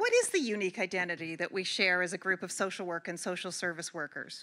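Bright and sharp in tone, a woman speaks fast with lively intonation and a fairly low pitch.

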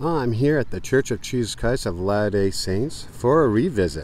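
Recorded dry with no echo and light background noise, a man with an unremarkable speaking voice talks at a moderate pace with lively intonation. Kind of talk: casual vlog chat. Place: street. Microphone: phone near.

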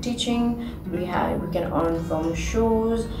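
A woman talks at a fairly slow speed as noticeable noise sounds behind her. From Nepal. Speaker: ballet dancer. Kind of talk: interview answer. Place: home room.

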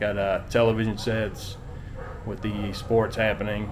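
Noticeable background noise runs behind a man speaking at a fairly low pitch. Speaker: travel vlogger. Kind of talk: casual vlog chat. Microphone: phone near.

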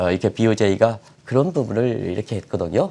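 This man's voice has a dark, mellow tone and moves at a fairly quick pace. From South Korea. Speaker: newspaper editorial writer, economics commentator; economics commentator. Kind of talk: TV economics explainer interview. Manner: hesitant, many fillers. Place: studio. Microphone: lapel.

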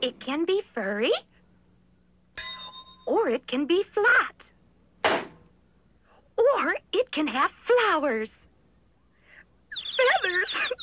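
A female-sounding cartoonish character voice at an extremely high pitch swings very widely in pitch, moving at a very slow pace with long, frequent pauses. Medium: puppet show. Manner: whimsical, airy.

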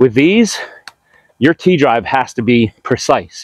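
The voice makes very wide pitch swings in a dry sound with no echo. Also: man. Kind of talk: casual vlog chat. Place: forest.

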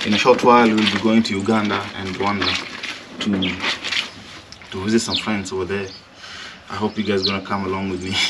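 A man at a fairly quick pace, amid loud background noise. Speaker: vlogger. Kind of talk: casual vlog chat. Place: garden. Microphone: camera far.

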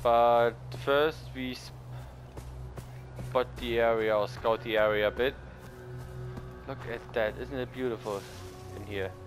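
Over background music, a speaker with a non-native accent talks at a fairly slow pace with long, frequent pauses, big swings in loudness and very wide pitch swings. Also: man, fairly low pitch for a man. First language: non-native English speaker. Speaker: let's play gamer. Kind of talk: casual gameplay commentary.

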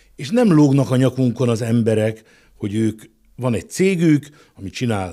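Against a quiet background, a man's dark, mellow tone moves at a moderate pace with lively intonation. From Hungary. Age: 60s. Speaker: business executive; guest. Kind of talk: interview; interview answer. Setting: studio. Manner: halting. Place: studio. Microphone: studio mic.

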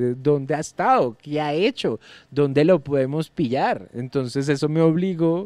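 Against a quiet background, an unremarkable speaking voice moves at a moderate pace with lively intonation. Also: man. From Colombia. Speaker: stand-up comedian. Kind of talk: casual chat.

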